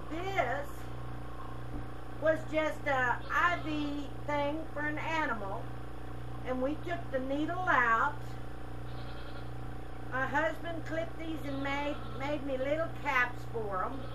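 A woman talks at a very slow pace with long, frequent pauses. Noticeable background noise runs underneath. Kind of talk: tutorial. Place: farm machine. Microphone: camera far.

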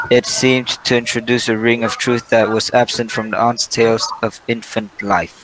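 The speaker talks at a moderate pace with flat, monotone intonation. Background noise is noticeable. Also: man, medium pitch for a man. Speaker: student presenter. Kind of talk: reading aloud a bedtime story in a class presentation. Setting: classroom presentation.

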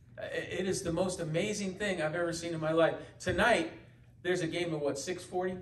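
Noticeable background noise surrounds a man speaking in an American accent. His high-pitched voice is monotone and flat, at a moderate pace. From US West Coast, San Francisco Bay Area. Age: 60s. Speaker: pastor. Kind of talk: sermon. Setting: church. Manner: halting, many fillers and repetitions.

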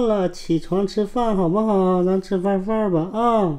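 At a very slow pace, a woman speaks with a dark, mellow tone and ordinary pitch variation over a quiet background. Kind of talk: casual talk to pets. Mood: affectionate, coaxing. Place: home room. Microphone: phone near.

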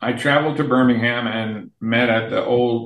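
A man speaks at a fairly slow pace against a quiet background. Audible room echo surrounds his voice. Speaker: remote podcast guest. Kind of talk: interview answer, storytelling. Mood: amused, recounting. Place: home room. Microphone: video call.

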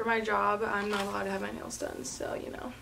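There is noticeable background noise. A woman talks at a fairly quick pace. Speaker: vlogger. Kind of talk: casual vlog chat. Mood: upbeat, excited. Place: home room. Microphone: phone near.

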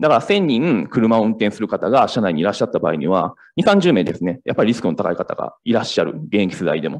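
A man's very fast speech with very wide pitch swings and hardly any pauses, over a quiet background. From Kansai, Japan; Japan. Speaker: startup founder; presenter. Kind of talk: startup pitch. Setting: stage with audience. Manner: halting. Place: hall.

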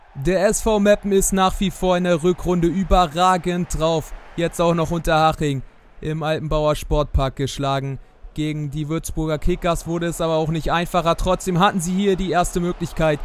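A man with a high pitch at a moderate pace. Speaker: YouTuber gaming channel host. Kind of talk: sports commentary over FIFA game highlights. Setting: voiceover recorded for a video.

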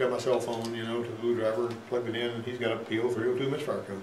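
A man speaks at a very fast pace amid audible room echo and light background noise. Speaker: automotive instructor. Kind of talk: lecture. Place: classroom.

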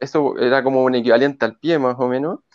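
A man with a Chilean accent speaks at a fairly high pitch, with ordinary pitch variation, in a dry recording with no echo and a quiet background. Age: 30s. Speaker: mountain guide and investor; mountain guide. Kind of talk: testimony. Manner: halting, many repetitions and fillers. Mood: cheerful, relaxed. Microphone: earbuds.

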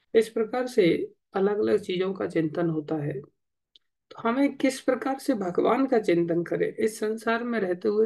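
A man speaks at a fairly slow pace with a high pitch and ordinary pitch variation. The background is quiet. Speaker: religious teacher. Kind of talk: sermon. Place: home room. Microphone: lapel.

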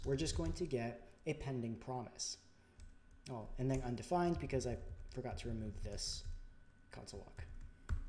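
Soft-spoken and somewhat breathy, a man with a dark, mellow tone talks at a moderate pace with lively intonation and long, frequent pauses over light background noise. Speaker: programming tutorial YouTuber. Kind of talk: tutorial. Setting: home recording with new microphone, screen capture. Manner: soft-spoken, somewhat unenthusiastic; informal, explanatory.

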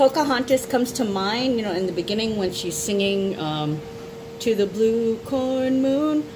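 At a moderate pace, a woman speaks while noticeable background noise continues. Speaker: astrology reader. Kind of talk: casual vlog chat. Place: home room. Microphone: phone near.

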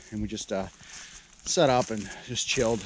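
Speech at a moderate pace comes with light noise in the background. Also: man, dry sound with no echo. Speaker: vlogger. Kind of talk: casual vlog chat. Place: forest. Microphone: phone near.

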